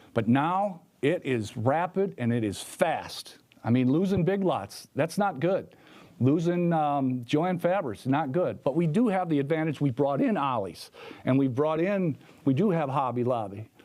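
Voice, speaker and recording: With a dark, mellow tone and a fairly high pitch, a man speaks with lively intonation and very even loudness. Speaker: incumbent mayor, debate candidate. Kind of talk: political debate. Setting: library forum with live audience. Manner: fast.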